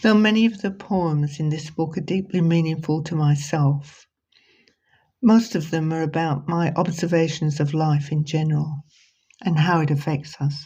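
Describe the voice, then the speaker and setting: Speaking with a British accent, a woman uses a very deep, low pitch and a dark, mellow tone that is somewhat breathy, with ordinary pitch variation at a moderate pace on a very clean recording with a silent background. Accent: British accent after 50 years in Australia. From Britain. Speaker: poet and author. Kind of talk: reading aloud and book presentation.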